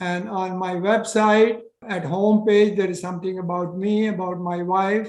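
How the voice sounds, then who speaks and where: A man's high-pitched voice comes with monotone, flat intonation at a moderate pace, with audible room echo around it. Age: 80s+. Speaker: retired cardiologist and health author. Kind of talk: interview. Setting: video call.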